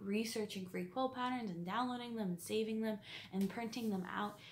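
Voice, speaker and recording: Over light background noise, a woman talks at a moderate pace with fairly even intonation. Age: 20s. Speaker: quilting vlogger; quilting hobbyist vlogger. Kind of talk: casual vlog monologue; casual vlog chat. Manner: hesitant, many fillers. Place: home room. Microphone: phone near.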